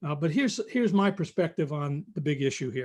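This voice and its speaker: In a very clean recording with a silent background, a man with a New York accent talks at a fairly quick pace with lively intonation. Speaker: recruiting expert. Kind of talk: live stream talk. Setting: live stream. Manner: fast.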